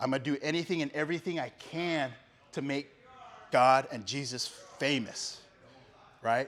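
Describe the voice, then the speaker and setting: Fairly high male speech at a middling speed, with usual pitch movement and long pauses that come often. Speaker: law enforcement officer giving testimony. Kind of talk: testimony. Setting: men's breakfast with live audience. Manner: loud and clear.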